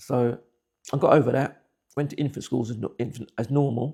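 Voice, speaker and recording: A man with a dark, mellow tone and vocal fry speaks at a moderate pace with fairly even intonation. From England (Buckinghamshire), West Indian parents. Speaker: interviewee telling life story. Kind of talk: personal testimony. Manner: halting, repeats words.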